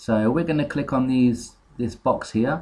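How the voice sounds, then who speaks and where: Dark and mellow in tone, a man talks at a fairly slow pace with fairly even intonation. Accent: British. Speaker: software tutorial maker. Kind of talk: tutorial. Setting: home screen recording. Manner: hesitant, many fillers.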